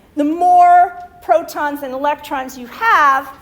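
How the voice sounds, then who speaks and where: There is noticeable background noise. The speaker is a woman. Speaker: chemistry lecturer. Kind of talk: lecture. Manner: many fillers, okay and um.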